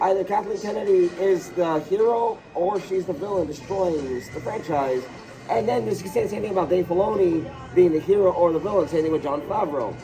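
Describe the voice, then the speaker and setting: Music plays in the background as a man with a high pitch talks at a fairly quick pace with ordinary pitch variation. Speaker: pop culture podcaster. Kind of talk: casual chat.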